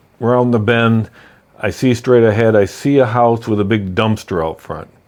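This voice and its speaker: At a moderate pace, a man talks in an ordinary speaking voice of medium pitch. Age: 60s. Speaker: real estate investor. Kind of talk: personal story. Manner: casual, conversational.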